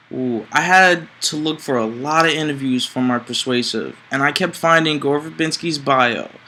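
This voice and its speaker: Against noticeable background noise, the voice moves at a moderate pace with ordinary pitch variation. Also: man. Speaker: public speaking student. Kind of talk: interview.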